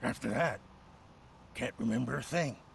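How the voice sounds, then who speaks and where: Using a put-on character voice that is raspy, a man speaks at medium pitch and a moderate pace over clear background noise. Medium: video game. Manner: jittery, stammering.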